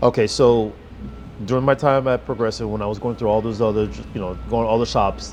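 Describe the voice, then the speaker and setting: A man speaks fairly quickly with an American accent at a medium pitch. Music plays in the background. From New York. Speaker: auto transport business owner. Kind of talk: interview. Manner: well spoken, articulate.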